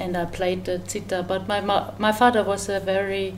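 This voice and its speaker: A woman speaks with a German accent. Audible room echo surrounds her voice. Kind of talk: interview. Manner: halting.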